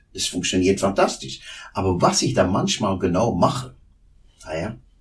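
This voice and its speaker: A man with a Flemish accent, fairly low pitch and a moderate pace, over noticeable background noise. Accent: Flemish Dutch accent in German. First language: Dutch (speaking German). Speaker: osteopath. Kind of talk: interview. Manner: halting.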